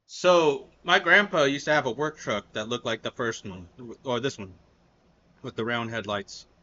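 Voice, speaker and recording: A man with a normal speaking voice talks at a moderate pace in an American accent, his pitch medium. His intonation is lively, and his loudness swings widely. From United States. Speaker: reaction youtuber. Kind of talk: casual chat.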